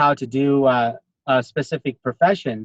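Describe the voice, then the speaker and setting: A man's ordinary speaking voice, fairly high-pitched, with ordinary pitch variation and a dry, close sound with no echo. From United States. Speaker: network marketing consultant, interviewer. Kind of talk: interview.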